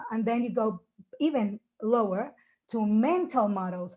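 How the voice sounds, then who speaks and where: A somewhat breathy voice with a dark, mellow tone sounds out in a very clean recording with a silent background. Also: woman. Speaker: English teacher. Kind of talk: conference presentation.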